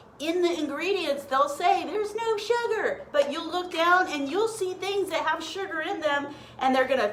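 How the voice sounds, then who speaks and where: A woman's voice swings very widely in pitch at a moderate pace, with audible room echo around it. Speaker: health and diet coach. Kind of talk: live cooking stream. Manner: casual, chatty; whispering at times.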